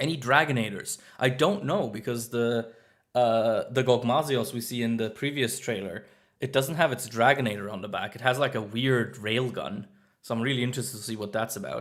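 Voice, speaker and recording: A man with a Swiss German accent is heard in a very clean recording with a silent background. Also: medium pitch for a man, fairly quick pace. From German-speaking Switzerland. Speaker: streamer. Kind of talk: live stream reaction chat. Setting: live stream from new flat. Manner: animated.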